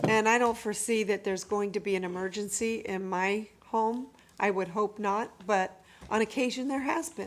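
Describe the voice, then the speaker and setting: A plain, everyday voice from a woman, fairly high in pitch, at a moderate pace with ordinary pitch variation. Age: 60s. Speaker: council member. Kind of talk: council deliberation. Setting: council chamber.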